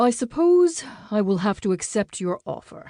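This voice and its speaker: In a put-on character voice, a woman speaks with a fairly high pitch and very wide pitch swings, the sound dry and close with no echo against a quiet background. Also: moderate pace. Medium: read story. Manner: calm, guarded.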